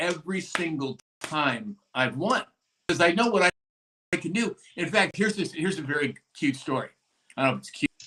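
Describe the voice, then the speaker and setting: A man with an American accent talks at a high pitch in a bright, sharp tone with lively intonation and long, frequent pauses, the sound dry and close with no echo. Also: fairly quick pace. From East Los Angeles. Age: 60s. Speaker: show host, fitness guy. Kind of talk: casual live-stream chat. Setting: live stream.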